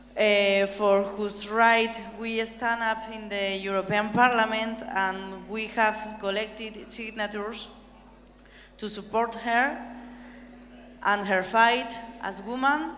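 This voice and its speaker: In a room with audible echo, a woman with a fairly high pitch speaks very slowly in a flat monotone, leaving long, frequent pauses. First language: not English. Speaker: European Parliament member. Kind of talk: conference speech. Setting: conference hall with audience.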